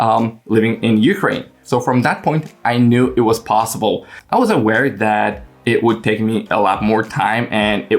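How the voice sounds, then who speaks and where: A man speaks at a medium pitch with a Polish accent. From Poland, small village. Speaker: English learning coach and YouTuber. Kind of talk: casual vlog talk to camera. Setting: at home in his room. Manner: frequent fillers and hesitations.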